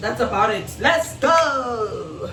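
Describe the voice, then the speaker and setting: Through audible room echo and noticeable background noise, a woman speaks at a very slow pace with lively intonation. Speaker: vlogger. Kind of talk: casual vlog talk.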